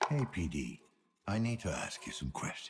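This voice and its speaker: In a put-on character voice, a man speaks at a moderate pace with a very deep, low pitch, very wide pitch swings and very even loudness. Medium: video game. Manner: gruff, blunt.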